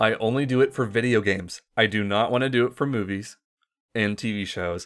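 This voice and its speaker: A man with a medium pitch talks at a fairly quick pace with fairly even intonation, recorded very cleanly against a silent background. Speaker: podcast co-host. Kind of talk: casual chat. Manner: enunciates clearly for the podcast.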